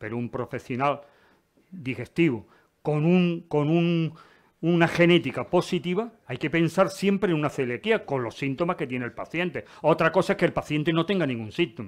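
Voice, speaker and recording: Lively intonation and a moderate pace mark an ordinary speaking voice, captured in a very clean recording with a silent background. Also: man, fairly high pitch for a man. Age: 60s. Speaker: retired urologist giving a talk. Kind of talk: Q&A after a lecture. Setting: lecture hall with audience.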